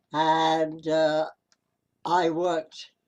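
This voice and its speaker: A man's fairly high-pitched voice with a British accent. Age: 80s+. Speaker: navy veteran. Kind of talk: interview answer.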